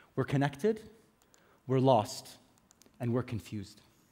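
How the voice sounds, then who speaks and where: The speaker is a man. He talks with an American accent. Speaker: conference speaker, business executive. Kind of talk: conference talk. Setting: stage with audience.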